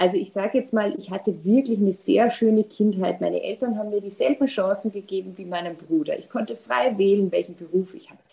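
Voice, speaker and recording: A woman with an Austrian accent talks at a very fast pace with hardly any pauses, her somewhat breathy voice dark and mellow in tone, medium in pitch and showing big swings in loudness. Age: 40s. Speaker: insurance executive. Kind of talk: casual interview.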